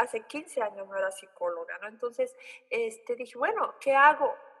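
With noticeable noise behind her, the woman talks at an unhurried, moderate speed, her pitch swinging very widely. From Oaxaca, Mexico. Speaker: psychologist. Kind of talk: explanatory interview.

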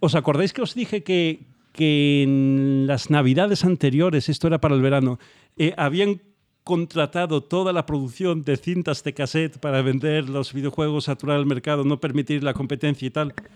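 Moderate pace and ordinary pitch variation from a normal speaking voice. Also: man, fairly high pitch for a man. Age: 40s. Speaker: podcast co-host. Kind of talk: casual chat.

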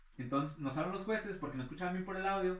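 Noticeable background noise and audible room echo surround a man whose pitch varies in an ordinary way. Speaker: freestyle rapper. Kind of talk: casual chat.

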